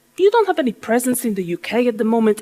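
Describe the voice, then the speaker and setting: A woman speaks with a Polish accent. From Poland. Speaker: business speaker and burlesque dancer. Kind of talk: keynote talk.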